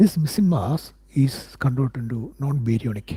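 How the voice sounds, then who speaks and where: A man with an Indian accent speaks at a medium pitch, his tone dark and mellow and somewhat breathy. His intonation is lively. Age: 50s. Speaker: independent physics researcher. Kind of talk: live stream talk answering viewers. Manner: halting, many fillers and repetitions.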